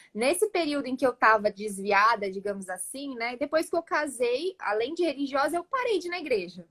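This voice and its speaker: Speaking at a fairly quick pace in a São Paulo interior accent, a woman makes very wide pitch swings in a dry, close recording with no echo. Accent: paulista do interior (caipira r). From São Paulo interior, Campinas. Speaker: church cell leader sharing testimony. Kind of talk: testimony. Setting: livestream video call.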